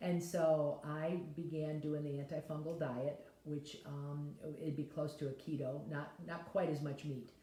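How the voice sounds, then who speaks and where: Speaking at a fairly slow pace, a woman with a very deep, low voice keeps a flat, monotone delivery, with noticeable background noise and audible room echo. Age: 70s. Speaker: health vlogger. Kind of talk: casual talk to camera. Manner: rambling, conversational with fillers.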